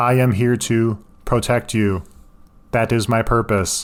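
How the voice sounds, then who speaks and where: A man performs a robotic, put-on character voice at a medium pitch. He speaks at a fairly slow pace. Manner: flat, formal.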